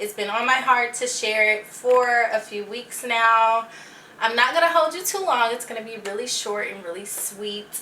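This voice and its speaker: A woman at a moderate pace and fairly high pitch, with ordinary pitch variation and noticeable background noise. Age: 20s. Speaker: podcast host. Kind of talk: casual podcast talk.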